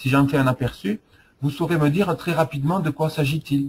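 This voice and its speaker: At a fairly quick pace, a man speaks in a somewhat breathy voice. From southwest France. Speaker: software presenter. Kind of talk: product demo. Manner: hesitant, many fillers.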